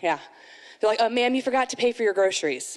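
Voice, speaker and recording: A woman speaks with an animated tone. The background is quiet. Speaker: amateur stand-up comedian. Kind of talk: first-time stand-up comedy set at a moms' night event. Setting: stage with live audience. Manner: animated, acting out mom-life scenes with sighs and self-mocking asides; chatty and rambling, heavy with 'you know' and 'like' fillers. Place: stage. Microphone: handheld.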